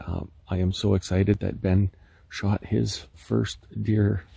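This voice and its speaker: Against a quiet background, a man with a very deep, low pitch speaks with vocal fry in a dry sound free of echo. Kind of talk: casual vlog chat. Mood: excited, happy. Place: forest. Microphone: phone near.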